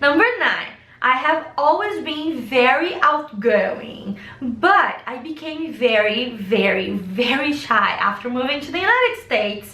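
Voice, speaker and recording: Amid noticeable background noise and audible room echo, a woman with a Brazilian Portuguese accent uses a raised, projected voice at a high pitch, speaking at a fairly slow pace with lively intonation. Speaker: vlogger. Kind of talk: casual chat.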